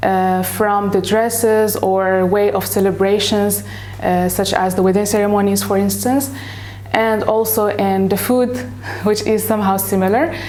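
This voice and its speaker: A woman speaks at a moderate pace and very even loudness, with audible room echo and noticeable background noise. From Morocco. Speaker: English teacher. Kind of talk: interview. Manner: hesitant, with fillers.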